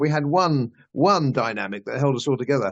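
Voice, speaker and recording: A man speaks with a British accent at a fairly high pitch. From England. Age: 70s. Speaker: political commentator, channel host. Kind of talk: interview conversation. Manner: hesitant with fillers.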